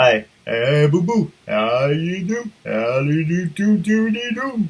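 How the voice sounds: A man does a put-on character voice at a high pitch. His pace is fairly slow.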